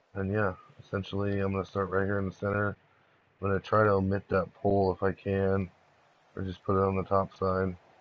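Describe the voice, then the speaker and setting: Quiet male speech at a fairly quick pace with monotone, flat intonation. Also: fairly low pitch for a man. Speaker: gaming streamer. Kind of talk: live game-building tutorial. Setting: live stream. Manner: casual.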